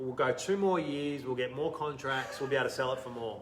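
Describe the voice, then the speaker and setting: With an Australian accent, a fairly high-voiced man speaks with ordinary pitch variation, amid audible room echo and noticeable background noise. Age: 40s. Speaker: entrepreneur. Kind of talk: interview. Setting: live video stream. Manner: animated.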